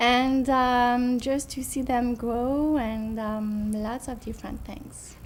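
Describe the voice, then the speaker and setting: A woman with a French accent speaks at a very slow pace in a high, monotone, flat voice with hardly any pauses. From France, southwest (Cognac). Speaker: French teacher. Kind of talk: interview. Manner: hesitant, with fillers.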